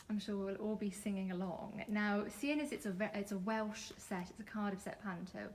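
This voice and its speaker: With hardly any pauses, a woman talks at a moderate pace over noticeable background noise. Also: medium pitch for a woman, fairly even intonation. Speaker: community critic, interviewer. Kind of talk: interview questions.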